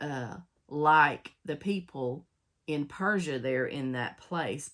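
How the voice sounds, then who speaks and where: A woman speaks in a very deep, low voice with ordinary pitch variation. Her pace is very slow. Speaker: Bible study teacher. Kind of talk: casual Bible study talk with scripture reading.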